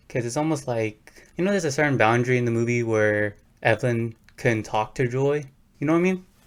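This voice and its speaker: A man with medium pitch talks at a very fast pace. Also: ordinary pitch variation. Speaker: podcast co-host. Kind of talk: casual chat.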